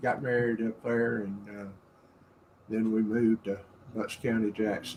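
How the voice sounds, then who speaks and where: A man speaks with a Southern US accent. His tone is dark and mellow, with fairly even intonation. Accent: Southern US (Georgia). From US South, Atlanta, Georgia. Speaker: guest's father. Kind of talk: casual interview chat. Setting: live stream.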